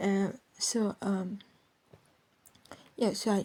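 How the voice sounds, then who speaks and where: With a somewhat breathy, dark, mellow tone, a woman speaks at a medium pitch. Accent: non-native. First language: not English. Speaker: podcaster. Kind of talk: casual rant. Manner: rambling, halting.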